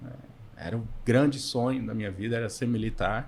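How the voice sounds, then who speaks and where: His voice comes out somewhat breathy. The man's intonation is lively. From Minas Gerais, Montes Claros (northern Minas). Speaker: podcast co-host, financial consultant. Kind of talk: casual chat. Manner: halting, many fillers.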